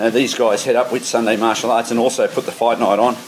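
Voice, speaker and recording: A man speaks very fast with an Australian accent, his intonation flat and monotone. Noticeable background noise runs under the clip. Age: 60s. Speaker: podcast host and amateur kickboxer. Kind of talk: casual monologue. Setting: on a treadmill in a shed.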